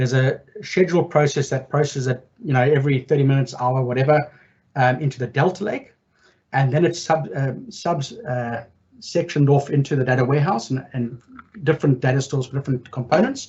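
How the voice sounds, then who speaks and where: The voice is somewhat breathy, with ordinary pitch variation. It moves at a fairly quick pace. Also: man. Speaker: data consultancy director moderating Q&A. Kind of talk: tech meetup Q&A answers. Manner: fast.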